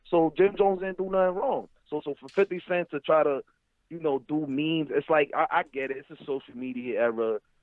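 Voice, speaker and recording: A man with a New York accent, fairly high pitch, ordinary pitch variation and a fairly quick pace. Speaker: caller. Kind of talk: call-in discussion.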